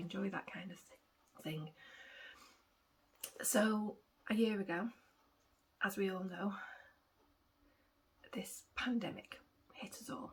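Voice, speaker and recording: Speaking with an English accent at a fairly slow pace, a woman uses a medium pitch and ordinary pitch variation, sounds somewhat breathy, takes long, frequent pauses and shows big swings in loudness. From England. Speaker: cross-stitch vlogger. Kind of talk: casual vlog chat. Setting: at home with cats. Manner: rambling, hesitant with many ums.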